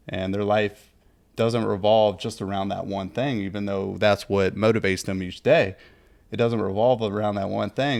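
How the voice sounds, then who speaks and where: A man with an unremarkable speaking voice, fairly low in pitch, at a moderate pace with fairly even intonation, on a very clean recording with a silent background. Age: 30s. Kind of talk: casual chat. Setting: podcast.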